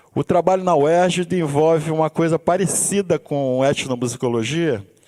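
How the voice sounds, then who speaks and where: The speaker talks at a moderate pace with ordinary pitch variation. The sound is dry and close, with no echo. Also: man. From Brazil, Rio de Janeiro suburbs. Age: 60s. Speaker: musician and university instructor. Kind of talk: seminar talk. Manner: halting, frequent restarts.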